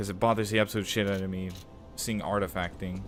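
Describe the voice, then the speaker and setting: Over music in the background, a man talks at a fairly quick pace with a fairly low pitch and ordinary pitch variation. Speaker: gaming streamer. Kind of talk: live gameplay commentary. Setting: live stream.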